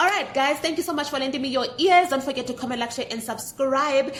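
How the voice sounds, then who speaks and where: A woman shouts loudly in a high voice. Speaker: manifestation coach. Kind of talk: motivational talk to camera. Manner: loud, feels like yelling; passionate, animated.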